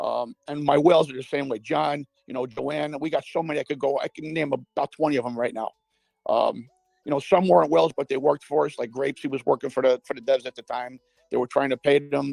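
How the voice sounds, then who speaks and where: Recorded in a dry, close sound with no echo, the man speaks at a fairly quick pace and fairly high pitch, with fairly even intonation and vocal fry. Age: 60s. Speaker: crypto investor. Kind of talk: casual chat.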